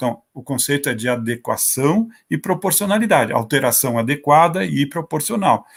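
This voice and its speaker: With very wide pitch swings, a man speaks at a moderate pace in a fairly high voice. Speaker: judge. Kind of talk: panel talk at online seminar. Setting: online event. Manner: halting, with false starts.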